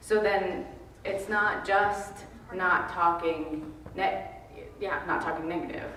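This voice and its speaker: A woman at a very slow pace with long, frequent pauses and fairly even intonation, amid audible room echo and noticeable background noise. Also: medium pitch for a woman. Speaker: meeting participant. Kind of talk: group discussion. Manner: loud.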